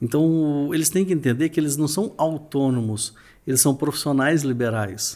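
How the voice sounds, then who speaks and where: A man with a fairly high pitch and a dark, mellow tone speaks at a moderate pace, with ordinary pitch variation and very even loudness. The recording is very clean, with a silent background. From Minas Gerais, Brazil (Uberlândia, Triângulo Mineiro). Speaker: real estate trainer and event organizer. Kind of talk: casual interview.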